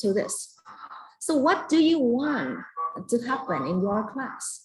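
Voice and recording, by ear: A woman talks with lively intonation and a slightly mellow tone.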